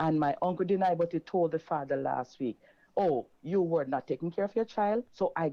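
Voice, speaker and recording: A plain, everyday voice at a moderate pace, with very even loudness and ordinary pitch variation. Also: woman. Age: 60s. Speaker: caller. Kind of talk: testimony.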